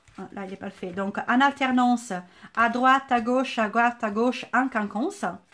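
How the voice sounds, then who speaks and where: A woman with a southern French accent, her high voice lively in intonation, at a fairly slow pace. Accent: sing-song southern French. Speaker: crafts teacher, shop owner. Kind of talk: tutorial. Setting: Facebook live stream.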